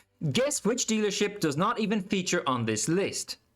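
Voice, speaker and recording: High-pitched male voice with an Irish accent and very wide pitch swings. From Ireland. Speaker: stock market YouTuber. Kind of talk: video commentary on stock news.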